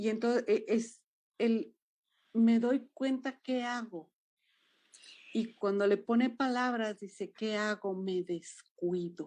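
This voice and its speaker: Over a quiet background, a woman speaks with a Jalisco accent. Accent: Jalisco Mexican, sing-song. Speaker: dance movement therapist. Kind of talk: interview conversation.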